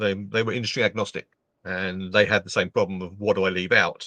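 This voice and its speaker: A man's medium-pitched voice with an English accent and a bright, sharp tone, fairly quick in pace, recorded dry and close with no echo against a quiet background. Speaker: LinkedIn trainer and speaker. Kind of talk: casual interview chat. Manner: animated.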